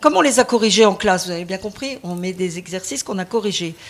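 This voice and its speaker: The intonation is lively. It comes from a woman. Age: 60s. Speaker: teacher. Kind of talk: testimony. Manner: halting; animated.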